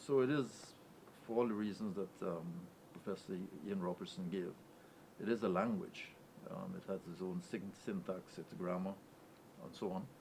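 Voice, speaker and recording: Fairly low-pitched man with long, frequent pauses over noticeable background noise. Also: ordinary pitch variation, moderate pace. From Guyana, Ogle Sugar Estate. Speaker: university pro-chancellor. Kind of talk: panel discussion.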